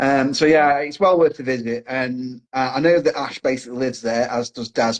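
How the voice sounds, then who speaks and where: A man talks with an English accent. His pitch varies in an ordinary way. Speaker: podcast host. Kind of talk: casual chat.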